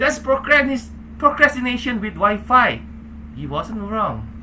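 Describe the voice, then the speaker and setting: The background noise here is noticeable. A man speaks at a fairly slow pace. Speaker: public speaking club member and podcaster. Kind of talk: humorous prepared speech. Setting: video call.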